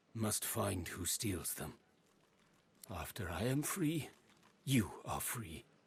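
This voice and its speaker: In a put-on character voice, a man delivers his lines. He takes them at a very slow speed. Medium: video game. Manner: halting, oddly phrased speech.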